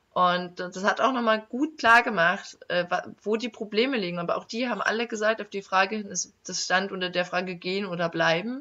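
It is a normal speaking voice. The pace is moderate and the pitch variation ordinary. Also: woman, medium pitch for a woman. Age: 20s. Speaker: young politician. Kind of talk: casual interview.

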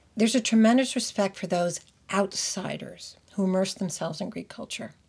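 Somewhat breathy, a woman speaks with an American accent and lively intonation at a moderate pace. The recording is very clean, the background silent. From United States. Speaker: podcast host. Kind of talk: scripted narration.

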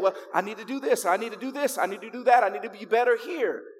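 A man speaks very fast with an American accent and lively intonation. His pitch is extremely high, with music in the background. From Chicago, US. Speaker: pastor. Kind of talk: sermon. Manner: animated.

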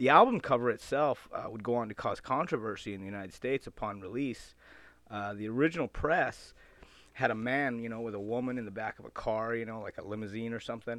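A man at medium pitch talking very fast against a quiet background. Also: ordinary pitch variation, big swings in loudness. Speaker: radio host. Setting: radio show studio. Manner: laid-back, wisecracking, casual and chatty, jokey with tongue-in-cheek rock-fan banter.

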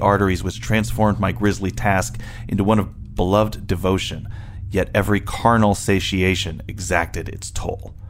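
Noticeable background noise fills the recording. Through it, a man talks at a fairly low pitch. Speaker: podcast co-host. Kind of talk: casual literary discussion. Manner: wry, joking.

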